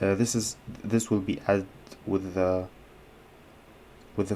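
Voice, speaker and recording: With a dark, mellow tone, a man speaks at a fairly low pitch and with fairly even intonation. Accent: non-native. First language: not English. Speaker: chess and coding YouTuber. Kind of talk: live coding and chess commentary. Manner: halting, many fillers.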